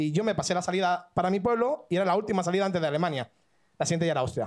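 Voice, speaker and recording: A man rattles along at a very fast pace in a high voice. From Catalonia. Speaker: audience member. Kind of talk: storytelling. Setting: stage with audience.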